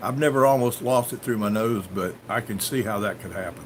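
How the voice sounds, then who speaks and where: A man with a Southern US accent talks at a medium pitch and a moderate pace, with ordinary pitch variation. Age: 60s. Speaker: farmer and livestream host. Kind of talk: live stream chat answering viewer comments. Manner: casual, storytelling.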